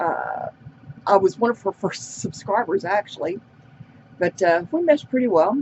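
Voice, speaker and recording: Amid noticeable background noise, a woman with a medium pitch talks at a moderate pace, her pitch swinging very widely between long, frequent pauses. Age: 60s. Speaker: beauty vlogger. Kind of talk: casual makeup tutorial chat. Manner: casual, rambling with fillers.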